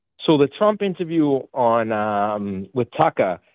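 Dry and close with no echo, a man talks with lively intonation in a strong Boston accent. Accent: heavy Boston.

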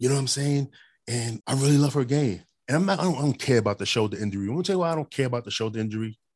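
A man's pitch shifts by an ordinary amount. No sound intrudes from behind. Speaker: sports podcast host. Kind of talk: casual sports talk. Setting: Zoom call streamed live. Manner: fast.

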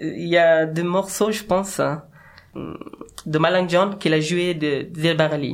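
With an Afghan accent, a man with a high voice speaks at a very slow pace over noticeable background noise. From Afghanistan. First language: Dari (speaking French). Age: 30s. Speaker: musician. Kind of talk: interview. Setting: studio. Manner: halting.

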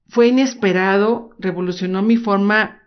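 A woman speaks with a Mexican accent at a medium pitch. Her intonation stays fairly even. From Mexico, Guadalajara, Jalisco. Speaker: life coach podcaster. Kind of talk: motivational podcast monologue.

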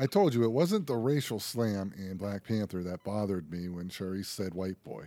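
With an American accent, a man speaks at a moderate pace in a fairly low, dark, mellow voice with ordinary pitch variation and hardly any pauses. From Pennsylvania. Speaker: podcast co-host. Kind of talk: casual chat.

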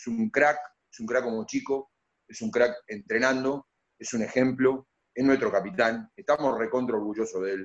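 Ordinary pitch variation, big swings in loudness, a moderate pace and a normal speaking voice. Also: man, medium pitch for a man. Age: 50s. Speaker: basketball coach. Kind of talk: radio interview.

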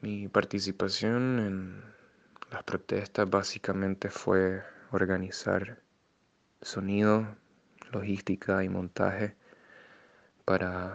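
Over a quiet background, a man speaks very slowly at a fairly low pitch with monotone, flat intonation. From Nicaragua. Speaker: musician and music teacher. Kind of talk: interview testimony.

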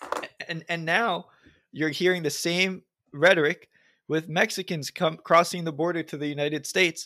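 A man's high-pitched voice with an American accent, bright, sharp tone, fairly even intonation and moderate pace, on a very clean recording with a silent background. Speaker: podcast co-host. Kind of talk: casual interview conversation.

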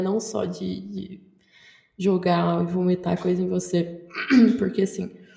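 A woman at a fairly slow pace, over noticeable background noise. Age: 20s. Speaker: journalism student and podcaster. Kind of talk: casual chat.

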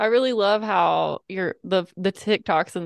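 With an ordinary speaking voice, a woman in an American accent talks at medium pitch with ordinary pitch variation, in a dry, close sound with no echo over a quiet background. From US South. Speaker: podcast host. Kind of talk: interview conversation.

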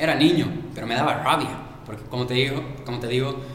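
Amid noticeable background noise and audible room echo, a man talks at a fairly quick pace and a medium pitch. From Bolivia. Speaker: Olympic sprinter. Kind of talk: interview.

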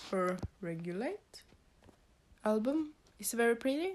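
Speaking at a very slow pace, a woman talks in a Norwegian accent. Her intonation is lively. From Norway. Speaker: podcast host and K-pop fan. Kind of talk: casual chat. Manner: halting, hesitant with fillers.

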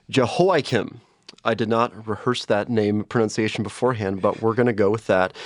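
A man speaks at a moderate pace with medium pitch and ordinary pitch variation. He has a normal speaking voice against a quiet background. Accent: American. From US Midwest, St. Louis, Missouri. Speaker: vicar, seminary student. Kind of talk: casual Bible study discussion.

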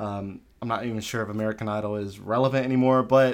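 A man's normal speaking voice, medium in pitch and fairly quick, on a very clean recording with a silent background. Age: 30s. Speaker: podcast host. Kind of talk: casual interview; sponsor read.

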